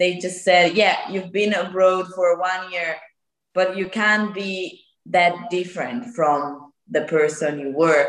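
A woman with an Italian accent, medium in pitch, at a very slow pace. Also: ordinary pitch variation. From northern Italy, near Lake Como. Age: 20s. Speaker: guest, former au pair.

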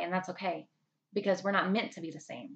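A woman with a Southern US accent talks at a fairly quick pace in a medium pitch. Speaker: podcast host. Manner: warm, upbeat, encouraging.

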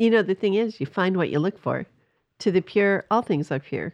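In a normal speaking voice, a woman of medium pitch talks at a moderate pace with ordinary pitch variation, the sound dry and close with no echo against a quiet background. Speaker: pastor. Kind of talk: casual religious discussion.

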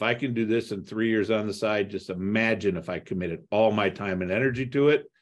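A man speaks in a normal speaking voice at a fairly low pitch and a fairly quick pace, with hardly any pauses. His intonation is fairly even, and the background is quiet. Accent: American. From US Midwest (Toledo, Ohio). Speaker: real estate investor. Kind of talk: podcast interview.

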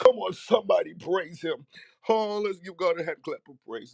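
A put-on character voice speaks at middle pitch and a moderate pace. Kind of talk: prophetic, preaching. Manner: rousing, exhorting.

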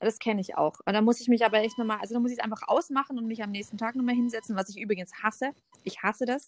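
Very fast speech in a dry, close sound with no echo. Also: woman, fairly high pitch for a woman. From Stuttgart area, Germany. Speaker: photographer and former model. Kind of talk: casual chat.

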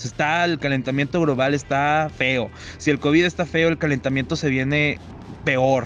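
In a plain, everyday voice, a man speaks at a moderate pace with fairly high pitch and fairly even intonation. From Mexico, Saltillo (Coahuila). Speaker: podcast host, university student. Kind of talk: casual chat.

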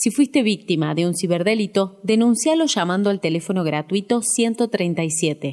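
Lively intonation in an Argentine accent, at a fairly slow pace with hardly any pauses. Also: woman, medium pitch for a woman. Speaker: podcast host. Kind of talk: interview; scripted narration.

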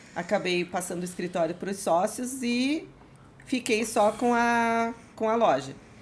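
A somewhat breathy woman at a fairly slow pace. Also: fairly high pitch for a woman. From Curitiba, southern Brazil. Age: 40s. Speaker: motorcycle dealership owner. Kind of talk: casual chat.

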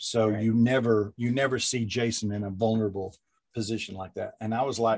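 A man talks in a somewhat breathy way, keeping a moderate pace. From Kentucky. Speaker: screenwriter and actor. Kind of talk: interview. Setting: video call.

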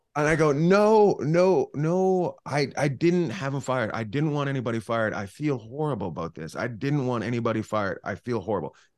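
At a fairly quick pace with hardly any pauses, a man talks at a medium pitch. His pitch swings very widely against a quiet background. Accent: western Canadian. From Canada, northern British Columbia. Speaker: comedian. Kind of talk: casual chat. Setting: video call.

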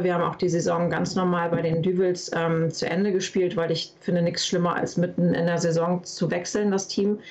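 A woman speaks fairly quickly in a fairly low voice. There is noticeable background noise. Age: 30s. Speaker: paintball player. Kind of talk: interview. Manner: hesitant, many fillers.

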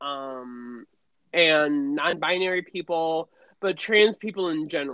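A woman's very deep, low voice, at a fairly slow pace with ordinary pitch variation. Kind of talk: casual chat.

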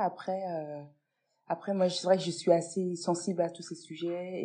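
At a fairly slow pace, a woman speaks with a fairly low pitch and a dark, mellow tone against a quiet background. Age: 30s. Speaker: pediatric nurse. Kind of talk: interview.

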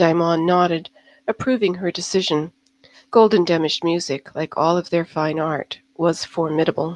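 A woman with an unremarkable speaking voice talks at a moderate pace in a fairly low pitch, her intonation fairly even, the sound dry and close with no echo. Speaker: audiobook narrator. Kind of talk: fantasy audiobook narration, read aloud from a novel with a brief podcast intro and outro. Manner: measured, even storyteller pacing.

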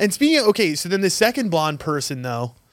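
A man talks in an animated tone, his pitch swinging very widely. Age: late 20s. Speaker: podcast co-host. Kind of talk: casual chat.

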